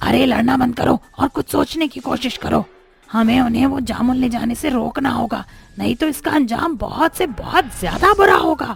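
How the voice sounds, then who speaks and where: Faint music plays behind a high-pitched, cartoonish character voice at a moderate pace. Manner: stern, bossy.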